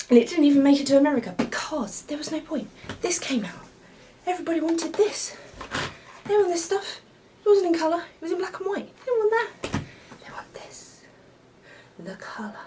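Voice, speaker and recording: Speaking with a British accent, a woman uses an extremely high pitch with very wide swings. Her fairly quick pace is broken by long, frequent pauses, with noticeable background noise behind her. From United Kingdom. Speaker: retro gaming YouTuber. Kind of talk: casual show-and-tell video. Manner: halting, many fillers.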